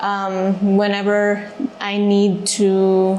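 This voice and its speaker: With an American accent, a woman speaks at a medium pitch, her voice carrying audible room echo over noticeable background noise. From Alaska, US (Juneau). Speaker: reservations manager. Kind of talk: podcast interview.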